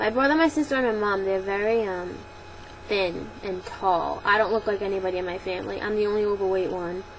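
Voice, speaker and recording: A woman speaks at a medium pitch with ordinary pitch variation while noticeable background noise carries on. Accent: Boston. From Boston, Massachusetts. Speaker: vlogger. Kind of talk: Q&A vlog. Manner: casual, many fillers.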